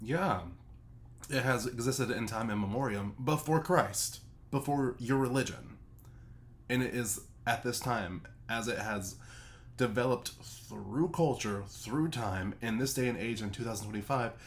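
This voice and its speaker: A somewhat breathy man at medium pitch, with ordinary pitch variation and a moderate pace. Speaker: streamer reacting to a video. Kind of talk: reaction commentary. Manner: animated.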